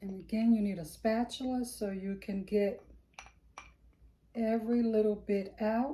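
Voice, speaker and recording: A woman speaks at a fairly slow pace with long, frequent pauses, her fairly high voice somewhat breathy, dark and mellow in tone, with fairly even intonation. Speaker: soap-making lifestyle vlogger. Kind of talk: tutorial. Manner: casual.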